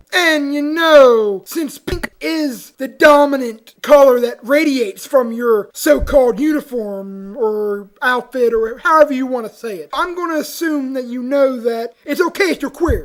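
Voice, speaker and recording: Someone does a put-on character voice at a high pitch with an upbeat tone. The delivery is at a moderate pace with hardly any pauses. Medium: audio drama. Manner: upbeat, excitable.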